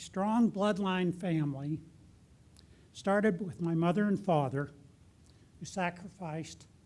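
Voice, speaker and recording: A man with an American accent speaks in a high voice at a fairly slow pace. His pitch varies in an ordinary way, and he takes long, frequent pauses. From Ohio. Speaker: business founder and chairman. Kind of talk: award acceptance speech.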